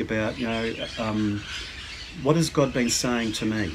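Amid noticeable background noise, a man talks at a fairly low pitch with ordinary pitch variation. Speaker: church minister. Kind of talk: sermon. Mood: calm, warm, reflective. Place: garden. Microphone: phone near.

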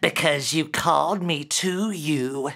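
A put-on character voice at a middle pitch comes through at a fairly slow pace with hissing.

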